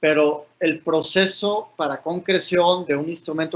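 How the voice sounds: A man with a fairly high pitch and a fairly bright tone keeps a fairly even intonation.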